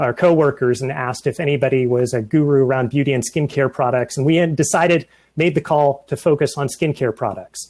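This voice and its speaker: In a very clean recording with a silent background, a man with a fairly high pitch talks at a fairly quick pace, with fairly even intonation and hardly any pauses. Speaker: software engineer. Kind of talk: conference presentation. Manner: fast.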